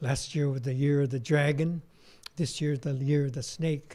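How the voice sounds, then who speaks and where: A man with a somewhat breathy, dark, mellow tone speaks at a medium pitch with fairly even intonation. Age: 70s. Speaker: Buddhist minister giving dharma talk. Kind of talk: dharma talk. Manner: casual, conversational.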